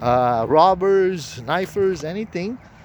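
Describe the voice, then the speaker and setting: Lively intonation marks the speech of a man who has a non-native accent. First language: not English. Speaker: self-proclaimed prophet. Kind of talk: religious monologue. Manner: halting.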